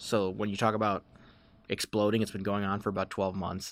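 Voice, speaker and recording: This man has an unremarkable speaking voice and an American accent, with a fairly low pitch. He talks at a fairly quick pace on a very clean recording with a silent background. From Chicago suburbs, US Midwest. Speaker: beverage company executive. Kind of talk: podcast interview.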